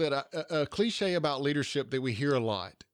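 A man with a Southern US accent, talking at a fairly quick pace. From US South, Georgia. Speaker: podcast host, leadership coach. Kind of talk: episode recap; interview conversation.

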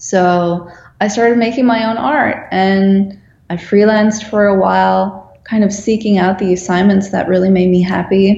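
Fairly even in intonation, the speaker talks at a moderate pace with a Dutch accent. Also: woman, medium pitch for a woman. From Netherlands. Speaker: graphic designer. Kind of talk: interview.

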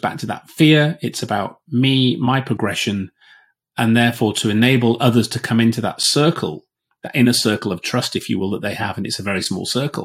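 Fairly quick speech with a Yorkshire accent, ordinary pitch variation, and a very clean recording over a silent background. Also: man. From Yorkshire, northern England. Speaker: business agility coach, former air force officer. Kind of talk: casual chat.

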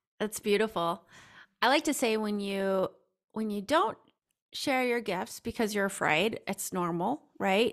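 An unremarkable speaking voice from a woman with an American accent, fairly high in pitch with ordinary pitch variation, at a fairly slow pace, on a very clean recording with a silent background. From US Midwest. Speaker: intuitive coach. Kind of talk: podcast interview.

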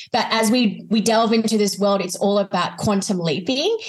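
At a moderate pace, a woman talks in a somewhat breathy voice of medium pitch. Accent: Australian. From Australia. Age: 20s. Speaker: life coach and author. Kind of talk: casual interview chat.

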